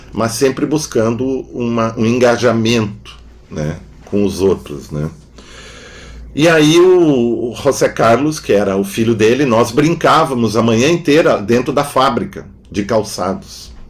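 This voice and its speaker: Noticeable background noise sits behind this man's voice. His pitch is medium and his intonation lively, and he speaks at a fairly slow pace. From southern Brazil, Rio Grande do Sul (Novo Hamburgo). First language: German (speaking Portuguese). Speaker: philosopher and psychoanalyst. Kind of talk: interview conversation. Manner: halting, with frequent fillers.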